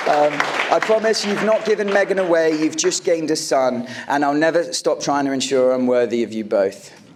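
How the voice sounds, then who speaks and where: Crowd noise sits in the background as a man with an American accent speaks at a fairly quick pace, his fairly high voice carrying lively intonation. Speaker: groom. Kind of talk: wedding speech. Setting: wedding reception with audience and microphone. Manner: warm, occasionally halting.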